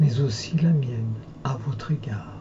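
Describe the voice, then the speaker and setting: Against noticeable background noise, a soft-spoken man talks at a very slow pace with ordinary pitch variation. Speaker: hypnotherapist. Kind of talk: guided hypnosis session.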